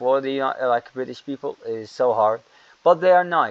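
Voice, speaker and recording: The speaker is a man of medium pitch. His pitch varies in an ordinary way. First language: not English. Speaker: English teacher. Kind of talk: lecture. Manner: halting.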